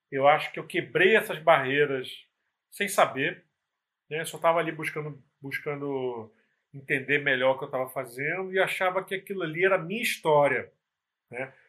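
A man talks in a bright, sharp tone at a fairly high pitch with ordinary pitch variation. His loudness swings widely. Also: moderate pace. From Brazil, Nova Iguaçu (Baixada Fluminense, Rio de Janeiro). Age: 40s. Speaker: music photographer. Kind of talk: casual interview chat. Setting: live stream video call.

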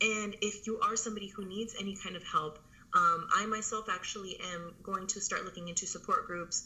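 In an ordinary speaking voice, a woman talks at a fairly high pitch and a moderate pace with fairly even intonation. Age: 30s. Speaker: army veteran. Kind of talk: casual chat.

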